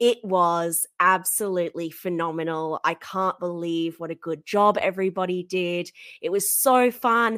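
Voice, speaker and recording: A woman with an Australian accent speaks at a fairly slow pace, medium in pitch with ordinary pitch variation. The recording is very clean and dry, close with no echo, with a silent background. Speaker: podcast co-host. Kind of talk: casual chat.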